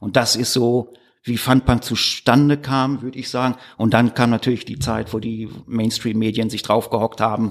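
An unremarkable speaking voice from a man at medium pitch, moving at a moderate pace with fairly even intonation. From Ruhr area, Germany (Gladbeck/Recklinghausen). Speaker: author and musician. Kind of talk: casual interview chat. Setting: studio, face to face.

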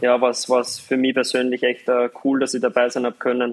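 His pace is fairly quick. The man talks at a medium pitch. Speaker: professional footballer. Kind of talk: interview. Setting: live video link.

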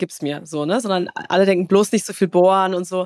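The sound is dry and close with no echo. A woman speaks at a medium pitch with ordinary pitch variation. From Baden-Württemberg, Karlsruhe area. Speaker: tech entrepreneur. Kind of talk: interview. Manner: filler-heavy, repetitive.

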